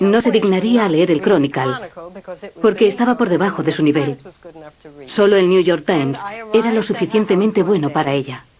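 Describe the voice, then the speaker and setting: Speaking at a moderate pace with long, frequent pauses, a woman uses a medium pitch, lively intonation, very even loudness and a dark, mellow tone. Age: 40s. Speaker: daughter caring for mother with Alzheimer's. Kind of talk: documentary narration.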